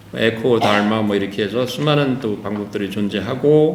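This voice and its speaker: A man speaks at a moderate pace in a fairly low pitch with ordinary variation. The recording has audible room echo and noticeable background noise. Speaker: professor. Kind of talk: conference lecture. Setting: conference hall with audience. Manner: halting, many fillers.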